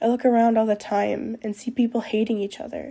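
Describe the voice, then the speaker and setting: At a fairly quick pace, a woman talks in a fairly high voice with a dark, mellow tone. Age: 20s. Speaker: podcaster. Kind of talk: personal monologue. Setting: at home desk at night. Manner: loud.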